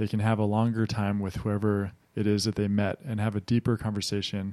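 A man with an American accent and an unremarkable speaking voice talks at a fairly quick pace, his fairly low pitch carried in fairly even intonation. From United States. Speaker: entrepreneur. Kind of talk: interview. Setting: studio.

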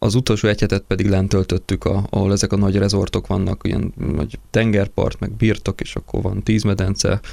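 Fairly low in pitch and flat in a monotone, a man talks at a fairly quick pace with hardly any pauses over noticeable background noise. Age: 20s. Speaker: tourism company executive. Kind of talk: radio interview.

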